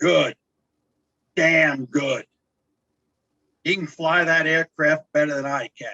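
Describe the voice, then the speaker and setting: Long, frequent pauses break up a fairly slow delivery in a put-on character voice. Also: man, fairly high pitch for a man. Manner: gruff, approving.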